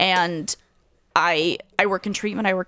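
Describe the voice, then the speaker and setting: A woman at a medium pitch, fairly slow pace and fairly even intonation. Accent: American. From Ukraine. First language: Russian. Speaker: comedian. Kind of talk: casual interview chat.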